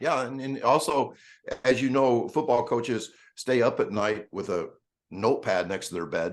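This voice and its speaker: A man with a normal speaking voice talks at a medium pitch and a moderate pace. His pitch varies in an ordinary way over a quiet background. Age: 60s. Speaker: speed coach. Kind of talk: podcast interview.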